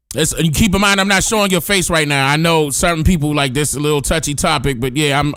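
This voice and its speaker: A man talks at a very fast pace in a fairly high voice with ordinary pitch variation, music playing in the background. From Washington DC, US. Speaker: livestream host. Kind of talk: casual chat. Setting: livestream.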